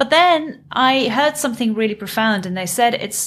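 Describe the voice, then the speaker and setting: A woman talks with a South African accent and lively intonation. Her pace is moderate. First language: Afrikaans. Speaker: business coach. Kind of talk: interview. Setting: video call.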